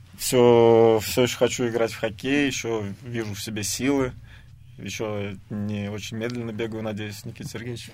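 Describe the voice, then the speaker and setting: Speaking with monotone, flat intonation, a man lets his loudness swing widely. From Samara, Russia. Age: 30s. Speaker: professional ice hockey player. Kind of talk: radio interview.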